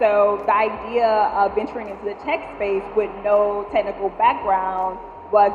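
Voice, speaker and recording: Both room echo and background noise are noticeable here. The speaker's intonation remains fairly even. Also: woman. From Louisiana, near New Orleans. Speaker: startup founder. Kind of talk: panel interview. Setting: stage with audience. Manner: loud.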